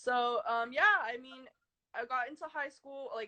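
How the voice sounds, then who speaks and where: In a Californian accent, a woman speaks at a high pitch with lively intonation. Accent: Californian American English. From US West Coast, San Francisco Bay Area (Fremont). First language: Chinese. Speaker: artist. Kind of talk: interview.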